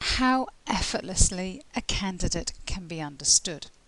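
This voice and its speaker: A woman speaks with a British accent and very wide pitch swings. She takes a fairly slow pace. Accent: British English (RP-like). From England. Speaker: English tutor. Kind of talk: tutorial. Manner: clear, measured.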